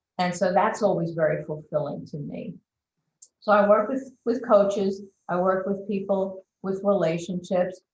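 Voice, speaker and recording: A woman speaks at a fairly slow pace with a medium pitch. Her voice is somewhat breathy, with ordinary pitch variation. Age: 60s. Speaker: transformational coach. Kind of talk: interview.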